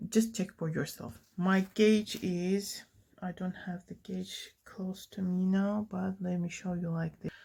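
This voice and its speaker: Very slowly, a woman speaks at a medium pitch with fairly even intonation and a somewhat breathy, dark, mellow tone. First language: not English. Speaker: knitting tutorial creator. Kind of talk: tutorial. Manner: halting, many fillers.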